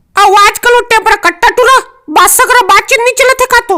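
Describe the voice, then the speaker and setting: This put-on character voice sits at an extremely high pitch. It moves along at a fairly quick pace. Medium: fan dub. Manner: fast, colloquial Chhattisgarhi banter.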